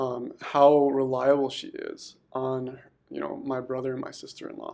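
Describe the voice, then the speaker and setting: A man speaks at a moderate pace. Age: 20s. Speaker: podcast host. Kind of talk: casual chat.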